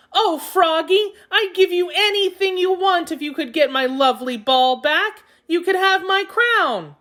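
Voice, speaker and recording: This squeaky, put-on character voice rattles along with hardly any pauses. Its intonation is lively. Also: woman, extremely high pitch for a woman, moderate pace. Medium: read story.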